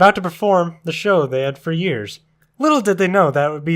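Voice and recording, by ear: Someone is reading aloud in a natural voice, with a quiet background behind them.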